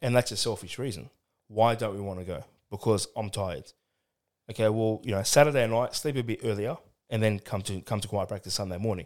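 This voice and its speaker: A man talks at a fairly quick pace with an Australian accent. The recording is very clean, with a silent background. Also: ordinary pitch variation. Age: 30s. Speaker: churchgoer and ministry volunteer. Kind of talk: casual chat. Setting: studio.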